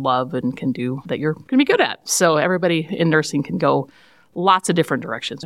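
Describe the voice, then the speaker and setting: Spoken at a fairly quick pace in a Midwestern American accent, the voice has ordinary pitch variation. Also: woman. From central Iowa. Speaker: nurse practitioner. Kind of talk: interview.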